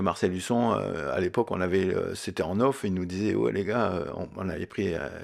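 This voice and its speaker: Recorded very cleanly against a silent background, a man speaks at a moderate pace in a fairly low pitch with ordinary pitch variation. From Lorraine, France (Mont-Saint-Martin, Longwy area). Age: 60s. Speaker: former footballer. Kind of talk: interview. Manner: halting, many hesitations.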